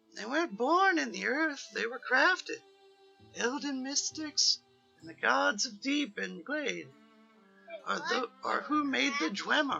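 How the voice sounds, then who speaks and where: A man uses a put-on character voice with an extremely high pitch, talking at a fairly slow pace with long, frequent pauses. Faint music plays in the background. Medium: game stream. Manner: theatrical, wordplay-laden.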